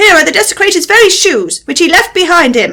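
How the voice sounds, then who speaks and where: Someone uses a squeaky, put-on character voice, raised and projected. The delivery moves at a fairly quick pace with lively intonation. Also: woman. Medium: read story.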